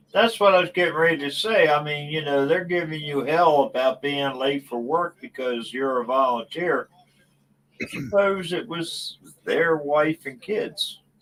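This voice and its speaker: Here a man has an unremarkable speaking voice with a fairly high pitch. His pace is fairly slow, and his pitch varies in an ordinary way. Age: 60s. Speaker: livestream guest. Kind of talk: casual chat.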